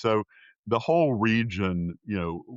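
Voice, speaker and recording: This man talks at a fairly slow pace with a Southern US accent. His pitch sits fairly low. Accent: Southern American. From US South, South Carolina. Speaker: political science professor and pollster. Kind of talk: interview. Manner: hesitant, frequent fillers.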